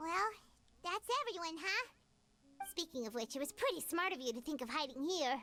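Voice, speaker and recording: In a put-on character voice with a high pitch, the speaker moves at a moderate pace but takes long, frequent pauses. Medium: video game. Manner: casual, curious.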